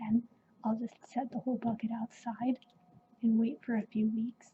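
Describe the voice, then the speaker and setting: The speaker is soft-spoken and keeps a moderate pace. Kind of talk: ASMR show-and-tell.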